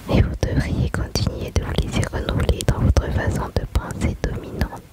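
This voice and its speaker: Noticeable background noise runs under a woman's whisper. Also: moderate pace. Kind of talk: ASMR whispered chat and Bible reading. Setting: home, with background noise and rain. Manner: soft, whispered.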